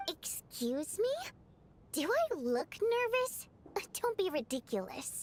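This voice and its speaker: This put-on character voice moves at a fairly slow pace with long, frequent pauses and very wide pitch swings. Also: woman, extremely high pitch for a woman. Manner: defensive, indignant.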